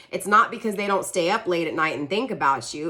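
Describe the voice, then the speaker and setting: Speech moves along at a fairly quick clip. Noise in the background can be clearly noticed. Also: woman. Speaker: tarot reader. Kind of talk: tarot reading monologue. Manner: stumbling over words; casual, conversational.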